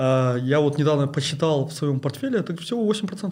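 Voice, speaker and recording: The voice is somewhat breathy. It belongs to a man speaking at a fairly high pitch. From Kazakhstan. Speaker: investment blogger and oil and gas engineer. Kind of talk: interview. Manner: halting, many fillers.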